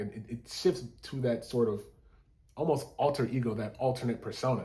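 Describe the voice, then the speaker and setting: A man's somewhat breathy, medium-pitched voice at a fairly quick pace, with ordinary pitch variation. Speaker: musician explaining his own song. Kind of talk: casual video talk, breaking down a song. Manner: casual with many fillers.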